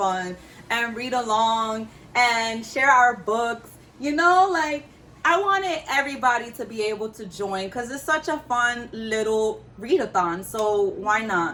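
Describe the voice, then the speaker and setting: A woman's fairly high, bright and sharp voice, animated in tone, with very wide pitch swings and a fairly slow pace. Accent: New York. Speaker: book YouTuber. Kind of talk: casual vlog talk.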